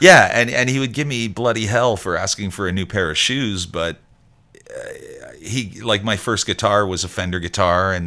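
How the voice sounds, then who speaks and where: In a Montreal accent, a bright, sharp tone carries ordinary pitch variation. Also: man. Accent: Montreal English (Canadian). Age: 60s. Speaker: musician. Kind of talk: interview. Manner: halting, many fillers and restarts.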